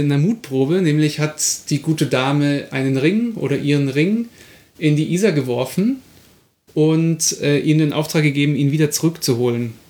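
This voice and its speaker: This man has a normal speaking voice with a fairly high pitch and ordinary pitch variation. He keeps a moderate pace and very even loudness. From Munich, Bavaria. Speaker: podcast co-host. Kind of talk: casual chat; storytelling.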